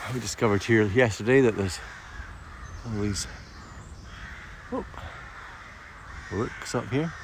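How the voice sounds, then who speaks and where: A man talks at a moderate pace in a medium pitch with ordinary pitch variation. He leaves long, frequent pauses over noticeable background noise. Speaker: nature streamer and guide. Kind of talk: casual nature walk commentary to camera. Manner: soothing, calm.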